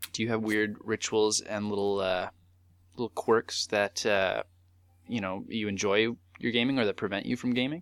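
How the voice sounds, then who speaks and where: With a Canadian accent and a plain, everyday voice, a man speaks fairly low with fairly even intonation on a very clean recording with a silent background. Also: moderate pace, dry, close sound with no echo. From southern Manitoba, Canada. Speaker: retro gaming podcast co-host. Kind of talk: casual chat.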